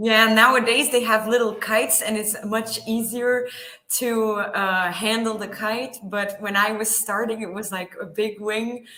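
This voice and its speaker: Woman with a Flemish accent, fairly slow pace, monotone and flat intonation, audible room echo, noticeable background noise. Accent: Belgian (Flemish) accent in English. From Belgium. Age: 20s. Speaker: paramotor pilot, pharma sales rep. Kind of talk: interview. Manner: halting with many fillers.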